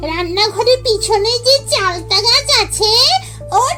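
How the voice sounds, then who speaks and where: A put-on, female-sounding character voice, extremely high-pitched and squeaky, speaks very slowly over loud background music. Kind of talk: ghost story acting. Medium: read story.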